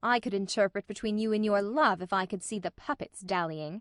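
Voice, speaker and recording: Using a put-on character voice, a woman speaks at a fairly quick pace in a dry, close sound with no echo. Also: medium pitch for a woman. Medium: audio drama. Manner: brief, dry.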